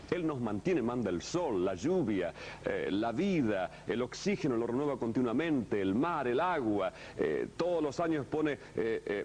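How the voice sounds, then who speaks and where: A man talks fairly slowly at a medium pitch with very wide pitch swings. His loudness stays very even. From Argentina. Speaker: pastor teaching a course. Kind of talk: sermon-style teaching lecture.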